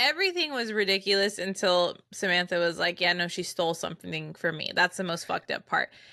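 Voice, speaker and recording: Over a quiet background, a woman with a bright, sharp tone and lively intonation talks at a fairly quick pace in a dry, close sound with no echo. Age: 20s. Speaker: podcast co-host. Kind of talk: casual chat.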